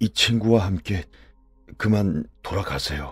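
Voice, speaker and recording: Over background music, a man puts on a character voice, projecting it loudly in a shaky, fairly low pitch at a fairly slow pace. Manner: halting, broken up.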